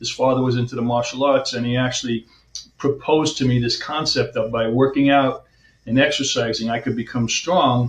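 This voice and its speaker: Speaking in an American accent, a man keeps a fairly quick pace and a medium pitch. His voice is somewhat breathy, and his intonation is fairly even. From US Northeast, Long Island, New York. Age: 60s. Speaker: chiropractor. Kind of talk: interview.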